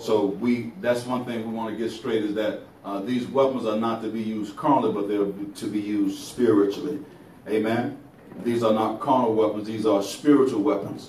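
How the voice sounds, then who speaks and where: Moderate pace and fairly even intonation, with audible room echo and light background noise. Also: man. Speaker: preacher. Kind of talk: sermon. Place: church.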